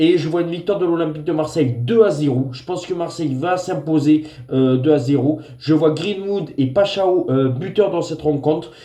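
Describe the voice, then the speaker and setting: A man with a fairly high pitch and ordinary pitch variation talks at a moderate pace with hardly any pauses over noticeable background noise. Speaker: football tipster. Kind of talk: football predictions vlog. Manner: hesitant with frequent fillers.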